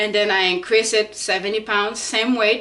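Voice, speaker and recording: A woman with a non-native accent has a medium pitch and a bright, sharp tone. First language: not English. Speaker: fitness vlogger, parent. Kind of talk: casual vlog talk. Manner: halting, with fillers.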